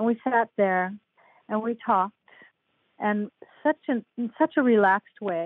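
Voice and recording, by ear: A woman's medium-pitched voice at a moderate pace, ordinary pitch variation, dry close sound with no echo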